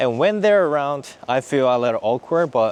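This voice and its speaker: The speaker has a Japanese accent and a fairly slow pace. The pitch swings very widely. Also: man. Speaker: vlogger. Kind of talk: casual chat. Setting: outdoors. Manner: halting.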